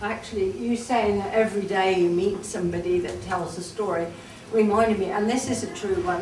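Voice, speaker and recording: A woman talks with a Cornish accent. Noticeable background noise can be heard. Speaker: storyteller. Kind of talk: dialect storytelling.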